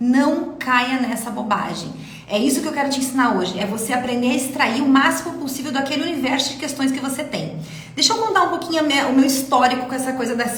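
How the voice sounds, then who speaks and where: A woman with a high pitch and ordinary pitch variation speaks in an animated tone at a fairly quick pace, with noticeable background noise and audible room echo. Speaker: dentistry exam mentor. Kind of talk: live mentoring class. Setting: live stream. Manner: fast.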